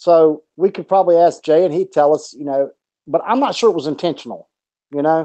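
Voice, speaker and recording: Speaking at a very fast pace in a Southern US accent, a man uses a dark, mellow tone at a fairly high pitch, with ordinary pitch variation. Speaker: boxing podcast co-host. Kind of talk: casual chat.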